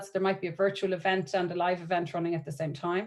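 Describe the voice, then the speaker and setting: On a very clean recording with a silent background, a woman speaks with a medium pitch. She keeps a fairly quick pace. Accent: Irish. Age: 40s. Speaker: marketing and events professional. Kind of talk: networking presentation. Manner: animated.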